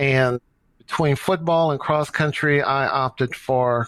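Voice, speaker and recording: A man talks in an ordinary speaking voice with an American accent. The sound is dry and close with no echo. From US Midwest, St. Louis, Missouri. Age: 60s. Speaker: running coach and nonprofit director. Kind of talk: podcast interview.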